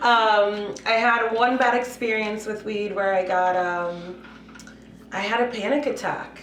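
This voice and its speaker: In a room with audible echo, a woman with a Spanish accent speaks at a fairly slow pace, her fairly high voice keeping fairly even intonation. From Puerto Rico, raised in Massachusetts from age five. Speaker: cannabis business CEO. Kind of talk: podcast interview. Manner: casual, many fillers.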